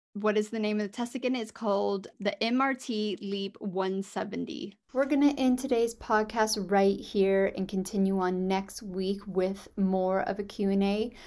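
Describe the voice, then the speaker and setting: With an American accent and a plain, everyday voice, a woman speaks at medium pitch with fairly even intonation and hardly any pauses. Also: moderate pace. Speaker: podcast host, holistic fertility coach. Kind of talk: solo podcast monologue, advice.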